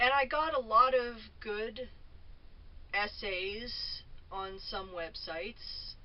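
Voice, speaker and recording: A woman speaks at a very slow pace, leaving long, frequent pauses. Her loudness swings widely, and the room echo is audible. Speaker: vlogger. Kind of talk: casual monologue. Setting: at home in a trailer. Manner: halting. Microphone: camera mic, no microphone.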